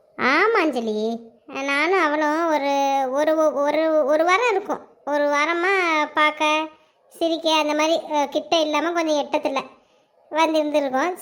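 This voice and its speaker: A woman does a cartoonish character voice at a high pitch, speaking at a fairly slow pace with fairly even intonation and very even loudness. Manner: rambling, colloquial Tamil.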